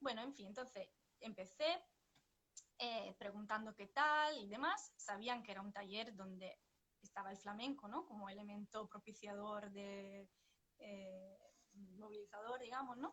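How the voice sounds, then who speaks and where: A woman speaks with a Sevillian accent, her pitch medium and its variation ordinary. She leaves long, frequent pauses. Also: fairly slow pace. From northern Italy, Vicenza. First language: Italian (speaking Spanish). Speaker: psychotherapist and flamenco dancer. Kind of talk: interview. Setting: livestream. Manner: hesitant, many fillers.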